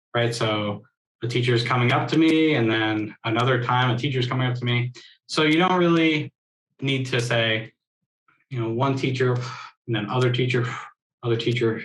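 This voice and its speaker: The speech has fairly even intonation and long, frequent pauses. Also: man, medium pitch for a man. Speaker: sign language interpreting mentor. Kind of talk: online workshop teaching. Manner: fast.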